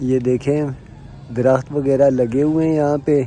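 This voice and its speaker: A man's fairly high-pitched voice with audible room echo and music in the background. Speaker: family vlogger. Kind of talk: casual vlog chat. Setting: outdoors on rooftop. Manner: soft-spoken.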